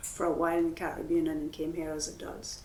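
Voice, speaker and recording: A woman is speaking. The room echo is audible. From Trinidad. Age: old. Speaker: composer and musician. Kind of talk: onstage interview conversation. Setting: gallery with live audience.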